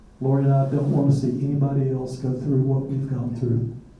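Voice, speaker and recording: A man speaks with a flat, monotone intonation. Room echo is audible. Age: 60s. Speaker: retired chemist, disease survivor. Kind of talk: testimony. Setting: public forum with audience.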